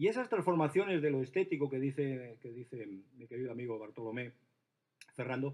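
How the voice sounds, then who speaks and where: The speaker is a man with lively intonation. He goes at a fairly quick pace. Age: 60s. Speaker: art historian and experimental poet. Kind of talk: panel discussion. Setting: stage with audience. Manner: animated.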